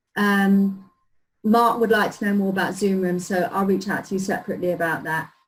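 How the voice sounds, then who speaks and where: A woman with a London accent, medium pitch, somewhat breathy, fairly quick delivery and monotone, flat intonation. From London, England (North London). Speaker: marketing automation consultant. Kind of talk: tutorial.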